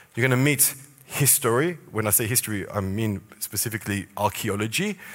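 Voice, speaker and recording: Speaking at a fairly low pitch, the man uses ordinary pitch variation. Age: 40s. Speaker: tour guide. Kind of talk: church talk on biblical archaeology. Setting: church stage with audience.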